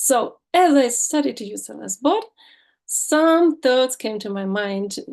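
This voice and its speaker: A woman speaks with a non-native accent. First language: not English. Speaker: student beta tester. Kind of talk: presentation with slides. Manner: halting, many fillers.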